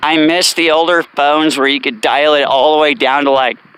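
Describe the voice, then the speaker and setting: A man talks with fairly even intonation in a fairly high voice. Noticeable background noise can be heard. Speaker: vlogger, former military drill instructor. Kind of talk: casual vlog monologue while walking. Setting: outdoors on a walk. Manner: casual, rambling with fillers.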